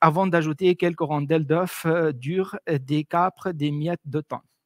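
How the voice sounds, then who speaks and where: Against a quiet background, a man with an Arabic accent speaks at a fairly high pitch. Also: dry sound with no echo. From Tunisia. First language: Arabic (speaking French). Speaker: cultural presenter; presenter. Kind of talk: presentation. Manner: halting, many hesitations.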